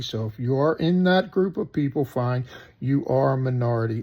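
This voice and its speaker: A man with an American accent, a fairly high pitch, a moderate pace and ordinary pitch variation. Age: 60s. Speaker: political commentator vlogger. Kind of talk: opinion monologue. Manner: animated.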